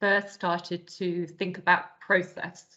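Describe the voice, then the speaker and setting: A woman with a bright, sharp tone speaks at medium pitch and a fairly slow pace. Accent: British. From UK. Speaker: business consultant. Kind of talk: interview.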